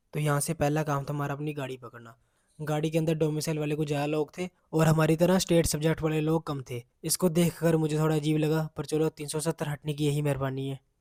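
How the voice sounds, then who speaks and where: This man speaks at a moderate pace in a fairly high pitch, his tone dark and mellow, his intonation monotone and flat, and the sound dry and close with no echo. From Jammu region, India. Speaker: college student vlogger. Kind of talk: vlog voice-over narration; casual vlog talk.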